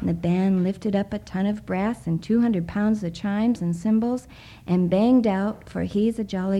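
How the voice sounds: This is a natural reading voice. Its pitch varies in an ordinary way.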